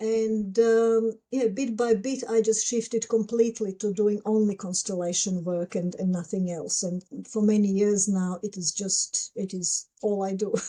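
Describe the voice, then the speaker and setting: A woman talks with hardly any pauses and fairly even intonation. Her tone is dark and mellow. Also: medium pitch for a woman, fairly slow pace. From Croatia. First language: Croatian. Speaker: psychologist and constellations facilitator. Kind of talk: interview conversation. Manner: halting, many fillers.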